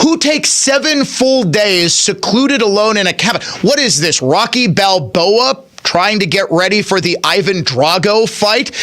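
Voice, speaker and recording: Against noticeable background noise, the speaker talks at a fairly slow pace with lively intonation, very even loudness and hardly any pauses. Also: man, high pitch for a man. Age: 40s. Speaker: talk radio host. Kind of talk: political talk radio monologue. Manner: animated.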